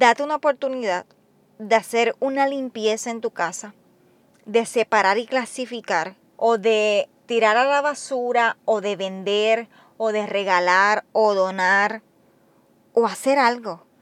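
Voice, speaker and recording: A woman's fairly high voice at a very slow pace, the sound dry and close with no echo. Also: ordinary pitch variation. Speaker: nurse and podcast host. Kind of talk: solo motivational monologue. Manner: talkative, conversational.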